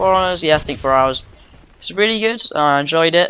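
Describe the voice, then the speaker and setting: A man with a British accent at a fairly quick pace. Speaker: gaming commentator. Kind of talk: gameplay commentary. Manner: mutters and gets tongue-tied; casual, many fillers.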